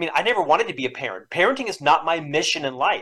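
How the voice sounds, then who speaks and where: Very fast and energetic, a man with a General American accent speaks in a high pitch with lively intonation. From US South, Orlando, Florida. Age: 50s. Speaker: leadership author and speaker. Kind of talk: interview.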